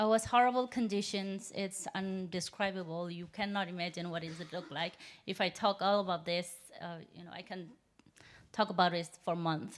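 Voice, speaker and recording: A woman with a Burmese accent at a medium pitch, fairly even intonation and big swings in loudness. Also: moderate pace. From Myanmar, Yangon. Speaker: human rights activist. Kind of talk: speech. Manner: halting.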